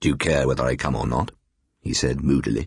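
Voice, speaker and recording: Moderate pace with vocal fry. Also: man. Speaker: professional audiobook reader. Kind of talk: radio drama reading of a ghost story. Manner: narrates and voices several characters in dialogue: a young woman, a moody father.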